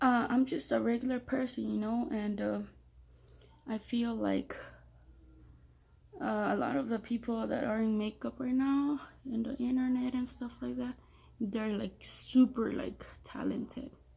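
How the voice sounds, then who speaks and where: Speaking with a Spanish accent, a woman goes at a fairly slow pace. She leaves long, frequent pauses. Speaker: beginner makeup vlogger. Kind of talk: tutorial. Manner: casual, hesitant with many fillers.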